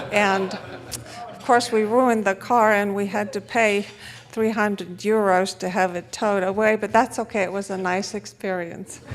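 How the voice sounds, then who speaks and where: In a Romanian accent, a woman speaks at a medium pitch and moderate pace with monotone, flat intonation. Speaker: economist and conference speaker. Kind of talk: conference talk.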